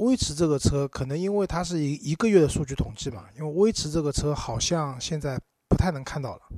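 The tone is dark and mellow, with lively intonation. The pace runs fairly quick. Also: man, fairly high pitch for a man. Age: 30s. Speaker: podcast co-host about cars. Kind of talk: casual chat.

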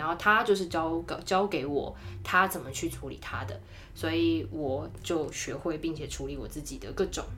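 The speech moves at a moderate pace with big swings in loudness. Noticeable background noise is present. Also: woman. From Taiwan. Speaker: marketing professional. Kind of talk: casual interview chat, storytelling. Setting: studio. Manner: animated.

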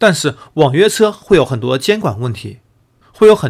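A man talks at a moderate pace, his pitch swinging very widely. The background is silent on this very clean recording. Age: 30s. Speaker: podcast host and news commentator. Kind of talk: solo news analysis commentary.

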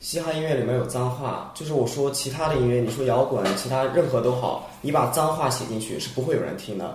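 A man talks at a fairly quick pace with hardly any pauses. There's audible room echo and noticeable background noise. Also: medium pitch for a man, ordinary pitch variation. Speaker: international student, rap contestant. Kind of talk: casual chat.

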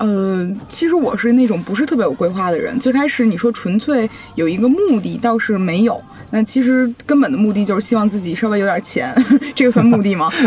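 With music in the background, a woman speaks at a fairly quick pace. Her fairly high voice has lively intonation. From Beijing, China. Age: 20s. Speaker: blogger and entrepreneur. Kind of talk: interview.

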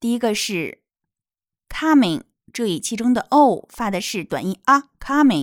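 On a very clean recording with a silent background and a dry, close sound with no echo, a woman with a fairly high pitch swings very widely in pitch. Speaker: children's English teacher. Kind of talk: tutorial. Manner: slow, clear didactic delivery.

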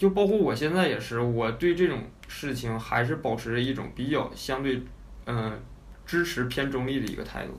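The voice has a Northeastern Chinese accent with vocal fry. The intonation is lively, and there is audible room echo. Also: man, medium pitch for a man, moderate pace. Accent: Northeastern Mandarin. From Northeast China. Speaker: former overseas student in the UK. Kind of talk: casual chat.

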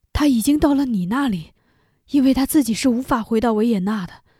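Her high-pitched voice has a dark, mellow tone, captured on a very clean recording with a silent background. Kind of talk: literary audiobook reading of an epistolary story, letter read aloud.

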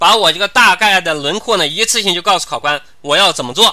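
With a raised, projected voice, a man speaks at a fairly quick pace, high pitch, and lively intonation. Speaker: civil service interview tutor. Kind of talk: online lecture. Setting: live online class platform.

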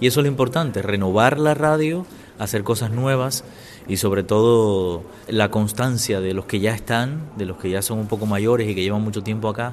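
Male speech at a moderate pace, noticeable background noise behind it. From Cuba. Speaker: former radio journalist and Spanish teacher. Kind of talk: interview testimony. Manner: hesitant, many fillers.

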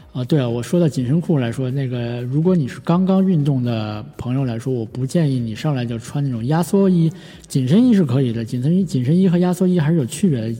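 Over noticeable background noise, a man speaks at a very fast pace in a fairly high pitch with lively intonation. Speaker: podcast host. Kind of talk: solo casual podcast talk. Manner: many fillers and hesitations.

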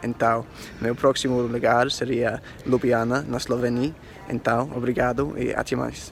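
Speaking with an English accent, a man at a medium pitch talks at a fairly slow pace in monotone, flat intonation amid noticeable background noise. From England, Oxford. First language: English (speaking Portuguese). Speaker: tour guide. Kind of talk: recorded listener message.

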